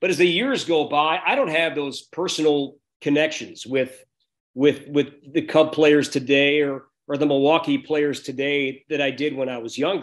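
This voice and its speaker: A man with an American accent, at a moderate pace, with fairly even intonation against a quiet background. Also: fairly high pitch for a man. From Chicago northern suburbs, US Midwest. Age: 40s. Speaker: baseball play-by-play broadcaster. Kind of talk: interview. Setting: video call. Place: home room. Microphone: video call.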